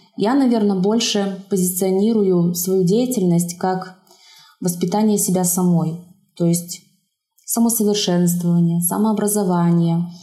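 Over music in the background, a woman speaks at a fairly slow pace with fairly even intonation and very even loudness, in audible room echo. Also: medium pitch for a woman. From Belarus, Zhabinka near Brest. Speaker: watercolour artist and craftswoman. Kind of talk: casual interview.

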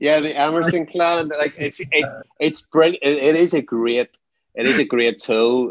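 A man with a Northern Irish accent speaks with ordinary pitch variation. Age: 40s. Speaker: anti-trafficking campaigner. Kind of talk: interview.

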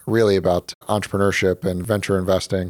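A man with an American accent and a very deep, low pitch speaks at a fairly quick pace with fairly even intonation, in a very clean recording with a silent background and a dry, close sound with no echo. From North Carolina. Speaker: tech company co-founder and executive. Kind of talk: interview.

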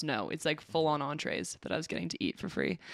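With a Canadian accent, a woman talks at a fairly quick pace in a very deep, low pitch with vocal fry, on a very clean recording with a silent background. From Alberta, Canada. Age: 20s. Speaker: college volleyball player and teacher. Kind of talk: casual chat.

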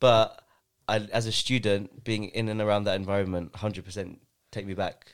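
A man talks at a moderate pace in a fairly low voice. His intonation is monotone and flat. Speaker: podcast host. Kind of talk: casual chat. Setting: studio.

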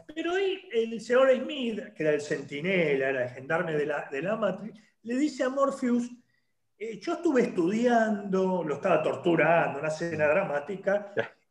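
A high-pitched man's voice with very wide pitch swings and audible room echo. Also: moderate pace. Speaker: online show host. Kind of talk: interview. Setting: video call.

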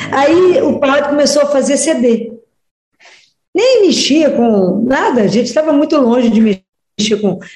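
Amid audible room echo, a woman with a high pitch speaks at a fairly slow pace in a dark, mellow tone, with lively intonation and very even loudness. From Minas Gerais, Brazil (Oliveira). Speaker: pediatrician and religious speaker. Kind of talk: radio interview.

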